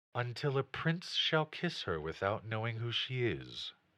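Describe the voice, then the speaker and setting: A man puts on a character voice. His pitch sits in the medium range, and he keeps a moderate pace. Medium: read story. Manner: gentle, calm.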